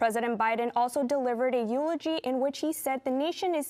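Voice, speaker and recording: Her pitch high, a woman talks at a fairly quick pace with ordinary pitch variation. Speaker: news anchor. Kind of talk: TV news anchor read. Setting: studio.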